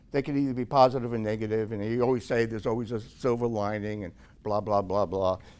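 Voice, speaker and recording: A man talks at a medium pitch with an American accent. The recording is very clean, with a silent background. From New York City. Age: 60s. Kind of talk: Q&A after a talk.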